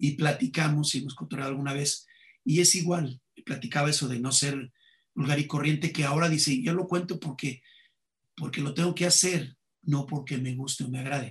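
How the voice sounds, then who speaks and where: At a moderate pace, a man with a fairly high pitch speaks in a somewhat breathy voice with ordinary pitch variation. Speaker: comedian. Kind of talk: interview conversation.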